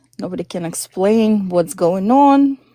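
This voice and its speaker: A woman's dark, mellow tone, in a Russian accent, at a very slow pace with ordinary pitch variation. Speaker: caller on spiritual live stream. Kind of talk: personal testimony.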